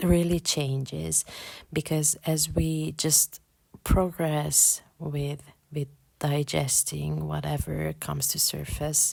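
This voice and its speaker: Very slowly, a woman speaks with a non-native accent. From Hungary. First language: Hungarian. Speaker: podcast host, spiritual. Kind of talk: spiritual podcast monologue. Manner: halting, many repetitions and fillers.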